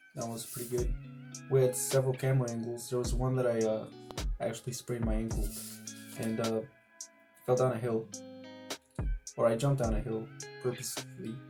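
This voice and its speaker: Music plays behind a man speaking at a very fast pace. His medium-pitched voice stays monotone, with flat intonation. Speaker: amateur filmmaker. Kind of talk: casual explanation to camera.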